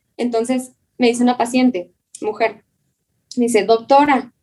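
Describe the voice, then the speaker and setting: Woman's fairly high voice in a dark, mellow tone, with fairly even intonation and a fairly slow pace. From Chihuahua, northern Mexico. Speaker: dermatologist and former pastor. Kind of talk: casual interview conversation.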